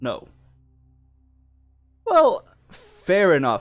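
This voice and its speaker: Music plays in the background as the speaker talks with a non-native accent. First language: not English. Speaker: gaming commentator. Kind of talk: video commentary. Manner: halting.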